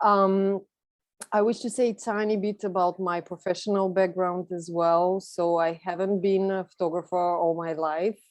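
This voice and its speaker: A woman with a Bulgarian accent at a medium pitch, monotone and flat, at a moderate pace over a quiet background. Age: 30s. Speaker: photographer. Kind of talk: presentation talk.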